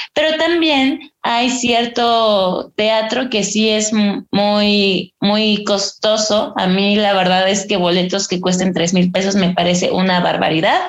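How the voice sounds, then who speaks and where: A woman with a central Mexican accent talks at a very slow pace with hardly any pauses. Her loudness stays very even, and her pitch varies in an ordinary way. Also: medium pitch for a woman. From Mexico, Estado de México (Ixtapaluca). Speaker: stage actress. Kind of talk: interview.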